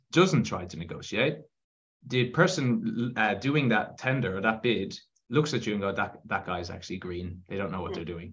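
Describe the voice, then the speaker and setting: A man in an Irish accent, with lively intonation at a moderate pace. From Ireland, Galway. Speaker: construction consultancy CEO. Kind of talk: interview. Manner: halting, many fillers.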